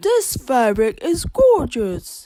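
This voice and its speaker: A woman's put-on character voice, high-pitched with very wide pitch swings. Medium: read story. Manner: fussy, bustling.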